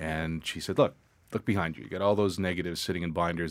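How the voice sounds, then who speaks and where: Very deep and low in pitch, a man speaks at a very fast pace. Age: 50s. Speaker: photographer. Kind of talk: casual interview chat. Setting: studio.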